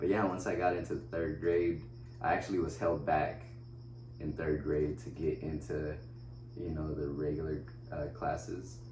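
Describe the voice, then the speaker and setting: A man with a very deep, low voice speaks with lively intonation and long, frequent pauses. Noticeable background noise and audible room echo surround him. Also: moderate pace. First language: Spanish. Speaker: wheelchair basketball player. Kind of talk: casual interview. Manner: casual, halting with fillers.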